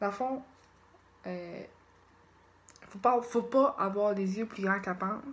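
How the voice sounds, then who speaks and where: A woman speaks at a fairly slow pace in a medium pitch, with ordinary pitch variation. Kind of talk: casual vlog talk to camera. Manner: hesitant, searching for words.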